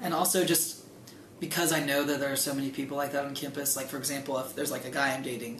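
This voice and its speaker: A man talks very fast at a fairly high pitch, with fairly even intonation. Noticeable background noise and audible room echo are present. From Greensburg. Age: young. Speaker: college student. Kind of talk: interview.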